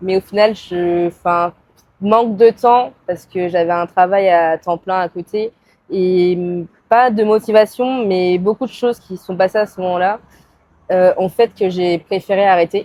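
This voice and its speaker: A woman with an ordinary speaking voice talks at a fairly slow pace and medium pitch. Her intonation stays fairly even, though her loudness swings a lot. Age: 20s. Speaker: photographer. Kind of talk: casual interview. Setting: podcast recording.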